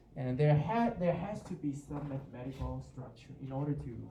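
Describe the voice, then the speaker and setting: A man with a Chinese accent, medium in pitch and moderate in pace, with audible room echo and noticeable background noise. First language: Mandarin Chinese. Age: 40s. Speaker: university professor. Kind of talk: lecture. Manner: halting, with many repetitions.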